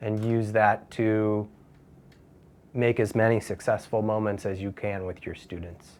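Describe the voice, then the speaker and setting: In a normal speaking voice, an American-accented man talks at a fairly slow pace, fairly low in pitch and with fairly even intonation. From United States. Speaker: English teacher. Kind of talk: interview. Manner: relaxed, frequent fillers.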